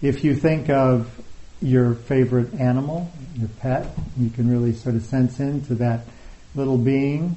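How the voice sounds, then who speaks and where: A male voice of medium pitch, somewhat breathy, at a fairly slow pace with fairly even intonation. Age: 60s. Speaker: meditation teacher. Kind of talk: dharma talk. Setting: retreat hall with live audience.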